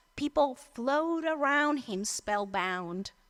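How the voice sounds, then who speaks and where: A woman speaks with a Colombian accent in a high, bright, sharp tone. Her pitch swings very widely. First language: Spanish. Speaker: storyteller. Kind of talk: storytelling performance.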